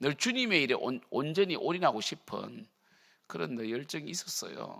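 At a fairly slow pace, a man with a fairly high pitch shows vocal fry, a bright, sharp tone and very wide pitch swings, on a very clean recording with a silent background. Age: 50s. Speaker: pastor. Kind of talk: sermon. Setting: church.

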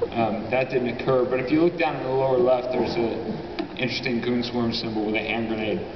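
A man at a fairly quick pace with fairly even intonation, over noticeable background noise. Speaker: conference presenter. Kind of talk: presentation talk. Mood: casual, joking. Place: hall.

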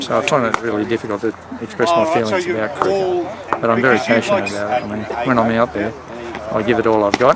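A man with an Australian accent talks very fast with lively intonation, the sound dry with no echo despite loud background noise. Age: 60s. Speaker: amateur cricketer. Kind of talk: interview answer. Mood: reflective, calm. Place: open country.

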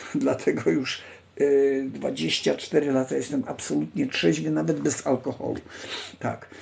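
A man speaks at a very slow pace. Light background noise is audible. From Poland. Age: 60s. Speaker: livestream host. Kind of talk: casual live stream chat, reading text aloud; casual live-stream talk answering chat. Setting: online live stream. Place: home room. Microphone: phone near.

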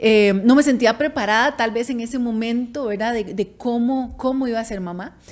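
Hardly pausing at all, a woman talks at a moderate pace. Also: fairly even intonation. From Costa Rica. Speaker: podcast co-host. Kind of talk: casual chat. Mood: warm, reflective. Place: studio. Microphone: studio mic.

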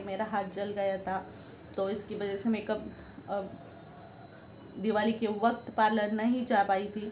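A woman's slightly mellow, medium-pitched voice with little pitch movement, a fairly slow pace and audible room echo.

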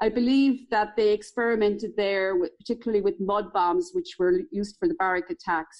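Speaking with a Tipperary accent, a woman has a fairly high pitch. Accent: Irish (Tipperary). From Ireland, County Tipperary. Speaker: local historian. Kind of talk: interview.

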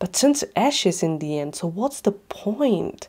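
In an intense, angry tone, a woman speaks at a fairly slow pace in a medium pitch with very wide pitch swings and vocal fry. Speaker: short film performer. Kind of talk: spoken word monologue. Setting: short film. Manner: intense, bitter, rhythmic, rhyming, angry delivery.

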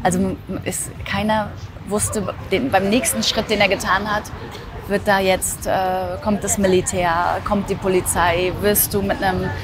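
With music in the background, a woman speaks at a fairly slow pace in a dry sound with no echo. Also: fairly even intonation. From East Germany. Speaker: editor. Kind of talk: interview answer. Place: street.

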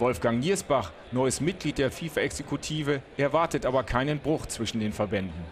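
A man talks at a moderate pace with hardly any pauses and lively intonation. His voice sits at a medium pitch and has vocal fry. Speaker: news reporter / narrator. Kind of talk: TV sports news report voice-over.

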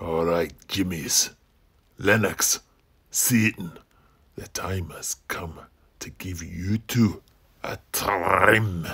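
A man talks at a very slow pace in a very deep, low pitch, with fairly even intonation and long, frequent pauses. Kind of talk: mock-Shakespearean rhymed verse. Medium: audio drama. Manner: menacing, mocking.

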